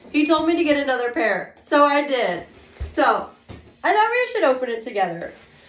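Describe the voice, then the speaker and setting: Amid noticeable background noise and audible room echo, a woman speaks in a high voice at a moderate pace. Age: 20s. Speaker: vlogger. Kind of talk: unboxing video. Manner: hesitant, many fillers.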